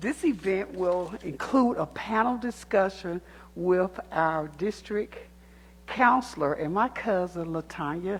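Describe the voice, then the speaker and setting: With a Southern US accent, a woman speaks very slowly. Her pitch is medium and her intonation is lively. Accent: US South. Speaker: community activist speaking at public comment. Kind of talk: public comment speech. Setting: city council chamber.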